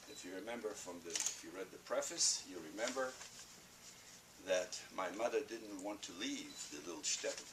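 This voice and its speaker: Amid noticeable background noise, a man speaks at a moderate pace with big swings in loudness. He leaves long, frequent pauses. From Poland. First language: Yiddish. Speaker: Holocaust survivor, speaker. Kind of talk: talk to students. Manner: animated.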